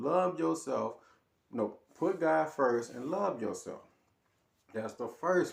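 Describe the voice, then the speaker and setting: A man talks at a fairly high pitch with vocal fry. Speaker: dating and breakup coach. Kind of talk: casual advice monologue. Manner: stuttering, unedited.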